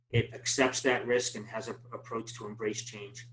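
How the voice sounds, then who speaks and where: A man with a Boston accent at a fairly quick pace, with monotone, flat intonation. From Boston, US. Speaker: project management trainer. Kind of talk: webinar presentation. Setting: online webinar. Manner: fast.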